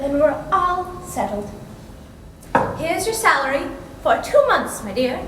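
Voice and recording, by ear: With audible room echo, a woman does a put-on character voice at a high pitch, with a fairly bright tone, big pitch swings and a fairly slow pace.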